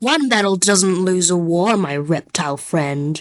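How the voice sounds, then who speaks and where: Using a put-on character voice, a woman talks at a medium pitch and a moderate pace. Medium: fan dub. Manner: sly, smooth.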